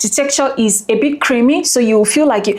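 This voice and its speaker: A woman talks at a high pitch and a fairly quick pace with ordinary pitch variation. Noticeable background noise runs behind her. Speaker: beauty and skincare YouTuber. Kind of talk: product review vlog. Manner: soft-spoken; animated.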